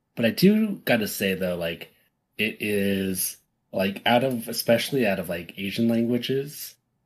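A man with an American accent and an ordinary speaking voice, medium in pitch with ordinary pitch variation, at a moderate pace, in a very clean recording with a silent background. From United States. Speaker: podcast co-host. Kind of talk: casual chat.

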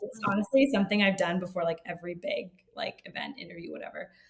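Speaking at a very fast pace, a woman with a medium pitch talks in an American accent. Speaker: founder of a travel company. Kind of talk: casual interview conversation.

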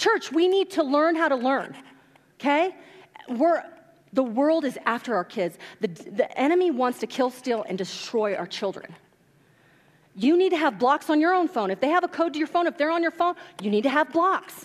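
A loud, high-pitched woman's voice, animated and energetic, with very wide pitch swings and long, frequent pauses. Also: moderate pace. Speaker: pastor. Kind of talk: sermon. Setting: church. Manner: loud, animated; informal, energetic.

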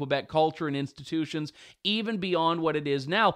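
With a Canadian accent and a normal speaking voice, a man talks at a moderate pace in a fairly high pitch with fairly even intonation. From Canada (Ontario). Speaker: talk show host and journalist. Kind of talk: talk show commentary.

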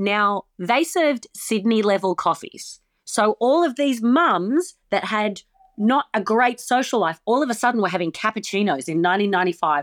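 A woman with an Australian accent talks at a moderate pace and a fairly high pitch, with very wide pitch swings. Her loudness is very even, and the sound is dry and close, with no echo. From Australia, small town. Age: 40s. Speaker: comedian. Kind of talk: casual chat.

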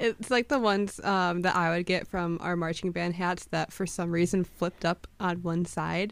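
On a very clean recording with a silent background, a woman speaks in a plain, everyday voice at a moderate pace with hardly any pauses. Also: fairly low pitch for a woman, fairly even intonation. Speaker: podcast co-host. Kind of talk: casual chat.

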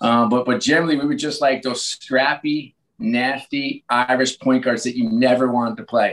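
A man talks in an unremarkable speaking voice at a medium pitch and a moderate pace. He leaves hardly any pauses. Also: fairly even intonation. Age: 50s. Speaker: sports team executive. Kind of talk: interview.

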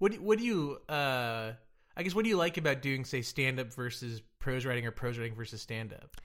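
On a very clean recording with a silent background, a man with an American accent uses a normal speaking voice at medium pitch with lively intonation. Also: fairly quick pace. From Dallas, Texas. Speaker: podcast host. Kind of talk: casual interview.

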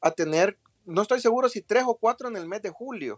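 With a Salvadoran accent, a man speaks at a moderate pace, the sound dry and close with no echo. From El Salvador. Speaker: politician. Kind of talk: interview.

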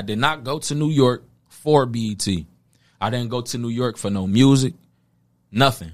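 Heard in a very clean recording with a silent background, a man speaks with an American accent. He has an ordinary speaking voice at medium pitch, with ordinary pitch variation. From Philadelphia, then Detroit and Toledo, Ohio. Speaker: battle rapper. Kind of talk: casual interview.

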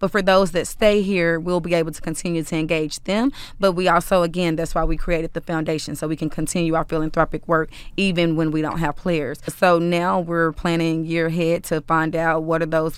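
A woman with an unremarkable speaking voice and an American accent, fairly low in pitch, fairly even in intonation, at a fairly quick pace. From Dallas, Texas (South Oak Cliff). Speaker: community relations executive for a pro sports team. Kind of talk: interview conversation.

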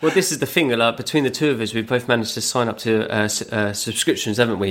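Speaking at a fairly quick pace in a British accent, a man uses a medium pitch with ordinary pitch variation. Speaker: podcast co-host. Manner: casual, conversational.

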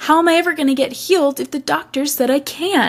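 Using a whiny, put-on character voice, a woman rattles along at a very fast pace with a high pitch and fairly even intonation. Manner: mocking, whiny.

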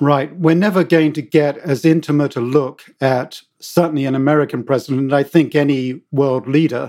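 A man with a British accent talks fairly slowly, his fairly high voice keeping a fairly even intonation. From Britain. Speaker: author and former journalist. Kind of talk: interview answers. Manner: hesitant, filler words.

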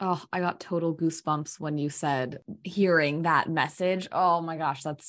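Against a quiet background, a woman speaks in a plain, everyday voice. Her pitch is fairly low, her pace fairly slow, and her intonation fairly even. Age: 20s. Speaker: podcast host. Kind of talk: interview conversation.

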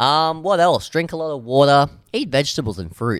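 In an Australian accent, a man with a fairly high pitch speaks in an animated tone, with a dry, close sound, no echo, and a very clean recording with a silent background. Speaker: radio comedy host. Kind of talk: casual radio chat. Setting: radio studio. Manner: rambling, animated.

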